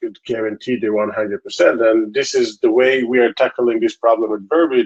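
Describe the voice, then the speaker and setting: An Israeli accent at a moderate pace, with ordinary pitch variation and a quiet background. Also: man. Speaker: tech company founder and CEO. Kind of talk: interview.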